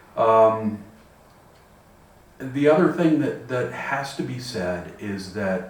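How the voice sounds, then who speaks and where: Noticeable background noise and audible room echo surround a man with a medium-pitched voice and lively intonation. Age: 60s. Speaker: person with vision loss sharing experience. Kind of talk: personal reflection monologue. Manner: halting, many repetitions.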